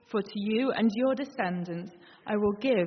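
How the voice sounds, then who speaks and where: Her pitch is fairly high, and she speaks at a fairly slow pace. This woman has an unremarkable speaking voice. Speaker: scripture reader. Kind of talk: reading aloud. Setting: church.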